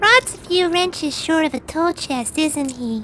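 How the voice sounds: In a cartoonish character voice, a female-sounding speaker goes extremely high in pitch at a moderate pace, with clear background noise behind her.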